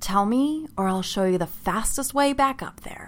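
The speaker uses a put-on character voice with a hissing sound. The pace is moderate. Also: female-sounding voice. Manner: hissed, threatening.

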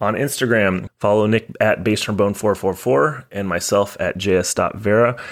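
A man with an unremarkable speaking voice and ordinary pitch variation, on a very clean recording with a silent background. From Texas. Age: 30s. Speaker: podcast host, trombonist. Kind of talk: read-out sponsor and show plugs; casual podcast chat.

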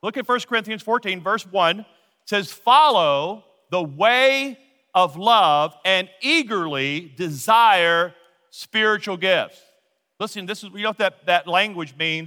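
A man's raised, projected voice, high in pitch with a bright, sharp tone, an American accent, lively intonation and a fairly slow pace. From Louisiana, US South. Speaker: pastor. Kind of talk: sermon. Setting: church.

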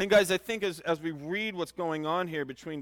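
The voice is loud and shows ordinary pitch variation. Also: man. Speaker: pastor. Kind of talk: sermon. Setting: church. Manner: halting.

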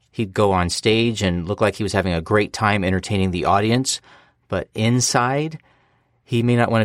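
On a very clean recording with a silent background, a man with an American accent and an ordinary speaking voice talks at a moderate pace, fairly low in pitch with ordinary pitch variation. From United States. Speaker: guest fan. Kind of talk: casual chat.

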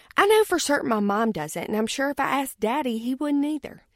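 Very clean and silent in the background, the recording has a dry, close sound with no echo. A woman with a Southern US accent speaks at a high pitch with lively intonation. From US South. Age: 30s. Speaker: podcast co-host, businesswoman. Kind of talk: personal monologue.

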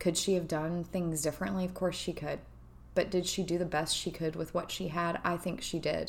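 Speaking at a fairly quick pace, a woman uses a fairly low pitch and monotone, flat intonation with vocal fry. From Kentucky. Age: 40s. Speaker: podcast host. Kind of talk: personal monologue. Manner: hesitant with fillers.

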